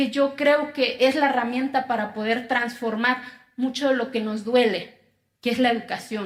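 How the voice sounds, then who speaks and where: With an Oaxacan accent, a woman speaks at a high pitch and a fairly slow pace, her pitch varying in an ordinary way. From Mexico, Oaxaca (Zapotec community). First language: Zapotec (speaking Spanish). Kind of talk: testimony speech.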